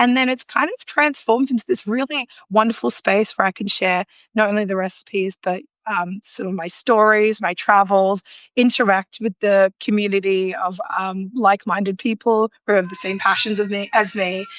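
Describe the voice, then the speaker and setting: With an Australian accent, a woman speaks with ordinary pitch variation. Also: medium pitch for a woman, moderate pace. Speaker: food illustrator and home cook. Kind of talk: interview. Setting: live online video chat.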